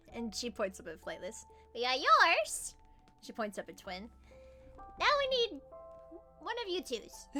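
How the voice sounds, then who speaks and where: Over clear music in the background, a woman uses a put-on character voice with a high pitch at a moderate pace. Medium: actual play. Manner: drowsy, smug.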